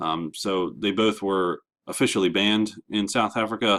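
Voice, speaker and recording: Here a man speaks at a fairly low pitch. His intonation stays fairly even. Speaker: history teacher. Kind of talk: lecture. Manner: fast.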